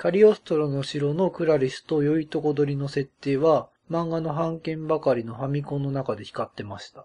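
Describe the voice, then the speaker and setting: Dark, mellow tone at a moderate pace, with ordinary pitch variation, hardly any pauses and big swings in loudness. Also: man, fairly high pitch for a man. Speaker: podcast host. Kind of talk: casual chat.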